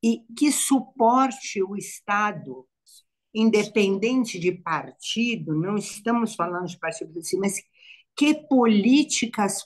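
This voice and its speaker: Somewhat breathy and fairly high in pitch, a woman speaks at a very slow pace with lively intonation. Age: 70s. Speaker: psychologist. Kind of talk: live panel discussion. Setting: online live stream. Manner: halting, repetitive.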